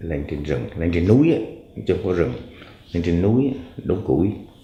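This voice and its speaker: With audible room echo, a man with a very deep, low pitch talks at a moderate pace in lively intonation. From Quang Ngai, central Vietnam. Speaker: interviewee telling his life story. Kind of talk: life story recollection. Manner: halting, many fillers.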